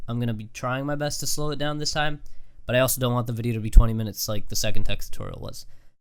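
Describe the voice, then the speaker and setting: A man talks with fairly even intonation. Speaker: YouTube tutorial creator. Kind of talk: software tutorial. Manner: fast; casual, filler-heavy.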